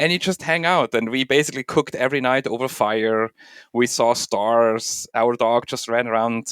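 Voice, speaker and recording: A man with a Swiss accent speaks at medium pitch and a moderate pace, with ordinary pitch variation. The recording is very clean, dry and close, with a silent background and no echo. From Switzerland. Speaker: bitcoin tech expert. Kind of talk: podcast interview. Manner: hesitant, many filler ums.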